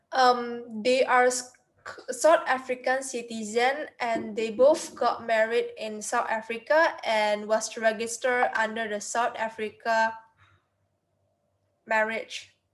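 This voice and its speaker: A woman with an Indonesian accent at a fairly high pitch, very slow pace and fairly even intonation. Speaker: university student. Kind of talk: class presentation. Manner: halting.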